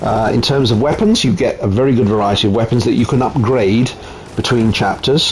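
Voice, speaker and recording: Against noticeable background noise, a man talks at a fairly quick pace and medium pitch, with ordinary pitch variation and very even loudness. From Italy. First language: Italian. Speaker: gaming YouTuber. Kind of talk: game showcase commentary. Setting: home, wife present.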